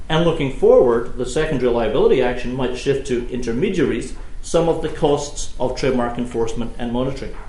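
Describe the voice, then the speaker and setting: The speech runs at a very fast pace with hardly any pauses, over noticeable background noise and audible room echo. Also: man. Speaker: law professor. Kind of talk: keynote lecture.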